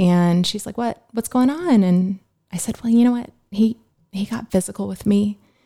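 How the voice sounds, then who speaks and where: A somewhat breathy woman with a medium pitch and a dark, mellow tone speaks at a moderate pace with ordinary pitch variation, the sound dry and close with no echo in a very clean recording with a silent background. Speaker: guest sharing faith testimony. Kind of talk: testimony. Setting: podcast interview.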